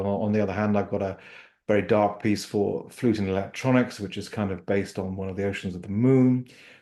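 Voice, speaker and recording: A man talks at a moderate pace in a fairly low pitch with a dark, mellow tone. The background is quiet. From Wales. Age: 60s. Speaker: composer and guitarist. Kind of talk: interview conversation. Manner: hesitant, many fillers and restarts.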